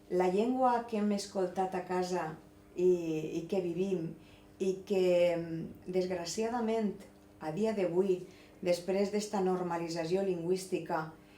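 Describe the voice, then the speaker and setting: A dark, mellow tone at a very slow pace, long, frequent pauses, ordinary pitch variation, and audible room echo. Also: woman. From Valencian Community, Spain. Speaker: interviewer, teacher. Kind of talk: interview.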